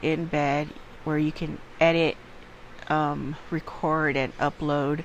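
Words come at a very slow pace while noticeable background noise is heard. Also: woman. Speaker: ad reader promoting a podcast platform. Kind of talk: sales pitch.

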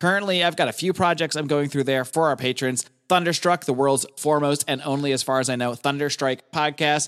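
This man has a normal speaking voice at a fairly high pitch. He moves at a fairly quick pace with fairly even intonation and very even loudness. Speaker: podcast host. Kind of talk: casual chat.

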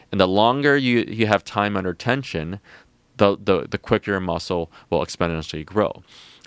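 Recorded dry and close with no echo, a man with a plain, everyday voice and a fairly low pitch speaks at a moderate pace with ordinary pitch variation. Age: 30s. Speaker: entrepreneur, company founder. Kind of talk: interview. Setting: studio.

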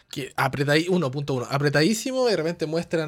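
Speaking at a fairly quick pace, a man has an unremarkable speaking voice pitched fairly high. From Chile. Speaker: podcast host, sound professional. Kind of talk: casual interview.

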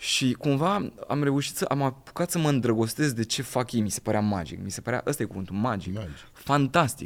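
Intonation here is lively and the pace fairly quick. The voice is a plain, everyday voice. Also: man, medium pitch for a man. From southern Romania, Craiova. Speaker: actor. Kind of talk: casual chat.

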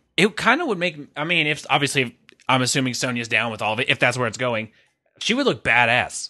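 Very fast and bright, a man's sharp-toned voice at a medium pitch carries ordinary pitch variation over a quiet background. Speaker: wrestling podcast co-host. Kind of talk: casual chat.

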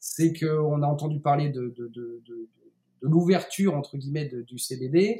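Pitched fairly high for a man, his voice has a dark, mellow tone, sounds somewhat breathy, and shows ordinary pitch variation. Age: 30s. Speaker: CBD producer and entrepreneur. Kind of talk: interview.

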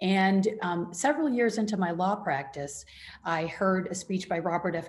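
Somewhat breathy and with an American accent, a woman talks at a moderate pace. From US Midwest, Michigan. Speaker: rancher and author. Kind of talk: interview. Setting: radio show.

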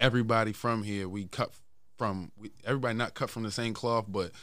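A man with an American accent speaks at a very fast pace on a very clean recording with a silent background. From West Baltimore, Maryland. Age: 20s. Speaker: rapper. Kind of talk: casual chat.

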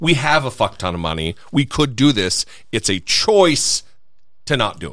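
Animated and at a moderate pace, a man talks with vocal fry at a medium pitch. His pitch swings very widely and his loudness rises and falls sharply. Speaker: podcast host. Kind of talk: casual chat, interview. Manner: animated, profane.

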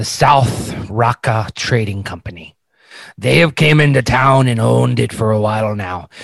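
A man's put-on character voice, gruff and mid-pitched, at a moderate pace. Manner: boisterous, gruff.

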